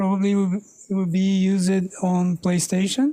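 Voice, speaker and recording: A woman with a non-native accent, a dark, mellow tone, medium pitch and a fairly slow pace. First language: not English. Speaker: meetup presenter, developer. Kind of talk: tech talk presentation. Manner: halting, many fillers.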